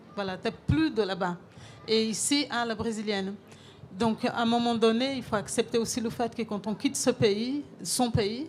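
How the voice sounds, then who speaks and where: A woman's fairly high voice with a Brazilian accent, at a fairly slow pace with big swings in loudness. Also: ordinary pitch variation. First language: Portuguese (speaking French). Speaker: chef. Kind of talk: panel discussion.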